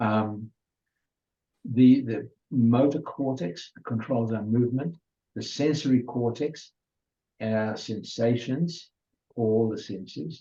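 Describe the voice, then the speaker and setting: A man at a medium pitch with a dark, mellow tone, ordinary pitch variation, a very slow pace and long, frequent pauses. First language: Hungarian. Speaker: adult education presenter. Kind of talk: lecture. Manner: halting.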